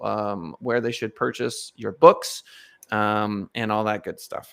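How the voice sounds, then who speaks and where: A man talks fairly slowly, his voice showing vocal fry. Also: very clean recording, silent background. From Missouri. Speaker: podcast host. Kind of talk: interview.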